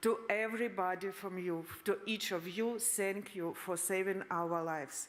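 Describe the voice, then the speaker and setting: Someone with a Russian accent speaks at a fairly slow pace with fairly even intonation and hardly any pauses. Audible room echo surrounds the voice. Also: woman, medium pitch for a woman. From Ukraine, Mariupol. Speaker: refugee. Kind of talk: conference speech. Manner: halting.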